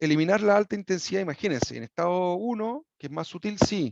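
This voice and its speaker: The sound of this man's voice is dry and close with no echo, against a quiet background. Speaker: equine sports medicine veterinarian. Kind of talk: lecture. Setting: video call. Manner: fast; hesitant, with many fillers and restarts.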